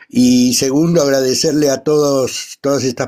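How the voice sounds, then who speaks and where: The voice has a dark, mellow tone and fairly even intonation. The pace is very slow. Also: man. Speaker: retired navy serviceman. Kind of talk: casual chat.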